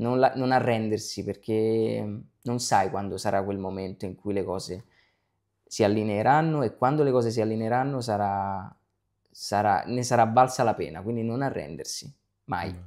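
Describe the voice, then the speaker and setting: Over a quiet background, a man with a plain, everyday voice talks at a moderate pace in a medium pitch with ordinary pitch variation. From Naples, Italy; Italy. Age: young. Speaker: actor. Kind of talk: interview. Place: home room. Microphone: lapel.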